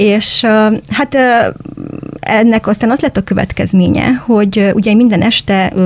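Noticeable background noise sits behind this woman. Her pitch varies in an ordinary way. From Transylvania, Cluj (Romania), Hungarian-speaking. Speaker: school teacher. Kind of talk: casual interview.

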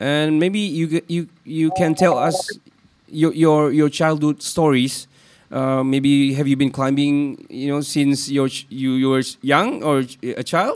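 At a very slow pace, a man speaks with a fairly high pitch and fairly even intonation. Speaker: podcast host, English teacher. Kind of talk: casual interview.

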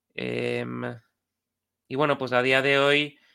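A man talks at a medium pitch with a bright, sharp tone. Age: 40s. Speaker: AI company CEO. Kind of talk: interview.

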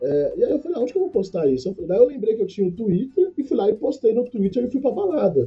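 Through noticeable background noise, a man with a high pitch talks at a very fast pace with very wide pitch swings. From Brazil, Campinas (São Paulo state). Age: 20s. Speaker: civil engineer. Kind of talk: casual chat.

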